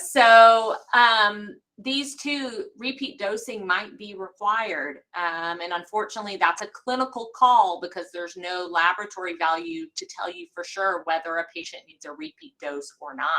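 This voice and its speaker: A woman with an American accent speaks at a medium pitch in a bright, sharp tone, with lively intonation and big swings in loudness. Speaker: hematology specialist physician. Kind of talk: medical lecture. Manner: fast.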